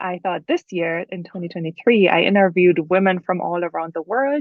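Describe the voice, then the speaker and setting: Speaking with a German accent, a woman uses ordinary pitch variation. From Germany. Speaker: author. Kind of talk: podcast interview. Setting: podcast.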